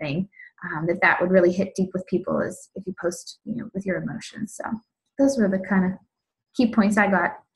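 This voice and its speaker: A woman's voice comes through somewhat breathy, with ordinary pitch variation. The background is quiet. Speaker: fitness business coach, team member. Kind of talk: casual sharing on a team call. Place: home room. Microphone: video call.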